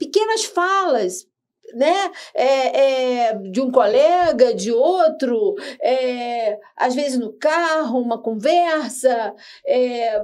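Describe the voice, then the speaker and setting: Her pitch is high, with very wide swings. The woman speaks at a very slow pace. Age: 60s. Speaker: podcast host. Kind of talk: panel discussion. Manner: halting.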